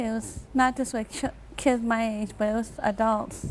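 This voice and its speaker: A woman with a fairly high pitch speaks at a moderate pace with fairly even intonation. It is an unremarkable speaking voice. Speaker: surgical patient. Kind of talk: TV interview.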